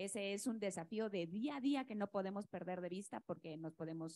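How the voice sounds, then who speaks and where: The woman speaks at a moderate pace and medium pitch with ordinary pitch variation. The sound is dry and close, with no echo. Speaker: state environment secretary. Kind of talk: panel discussion.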